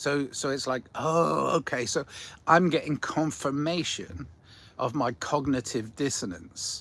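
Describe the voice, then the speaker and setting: A man talks at a fairly slow pace and a fairly high pitch. Vocal fry shows in his voice. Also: ordinary pitch variation. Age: 60s. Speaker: livestream host reading chat. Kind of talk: casual livestream chat. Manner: rambling, repetitive with false starts.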